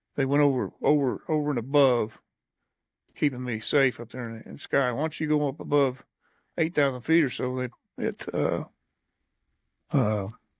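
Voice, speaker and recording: On a very clean recording with a silent background, a man with an Ozarks accent speaks at a moderate pace and medium pitch, with ordinary pitch variation and long, frequent pauses. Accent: Missouri Ozarks American. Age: 70s. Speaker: podcast host and veteran. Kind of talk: casual chat.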